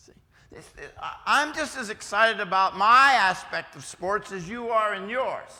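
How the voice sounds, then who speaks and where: In a raised, projected voice with an American accent, a man talks at a fairly slow pace, high in pitch with ordinary pitch variation, a bright, sharp tone and big swings in loudness. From West Virginia, US. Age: 50s. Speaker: preacher and schoolteacher. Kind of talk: youth lecture. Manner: casual, halting.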